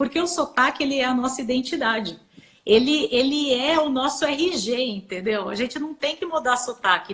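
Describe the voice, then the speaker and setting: The intonation is lively. The pace is moderate. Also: woman. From interior of São Paulo state, Brazil. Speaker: biologist and English teacher for animal science. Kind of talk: live stream talk with tips. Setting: online live stream.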